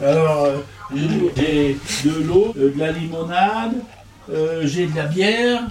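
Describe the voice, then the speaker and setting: Very slow speech with lively intonation and long, frequent pauses comes through audible room echo and noticeable background noise. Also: man, fairly high pitch for a man. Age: 70s. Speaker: retired laborer. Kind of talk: casual chat.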